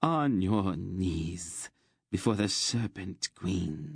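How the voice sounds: A man puts on a character voice, very deep and low, with a hissing sound, speaking at a very slow pace against a quiet background.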